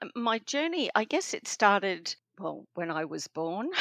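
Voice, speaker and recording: A woman with an Australian accent speaks at a fairly slow pace, her fairly high voice making very wide pitch swings and big swings in loudness. The sound is dry and close with no echo. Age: 60s. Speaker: spiritual counselor and author. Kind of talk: interview.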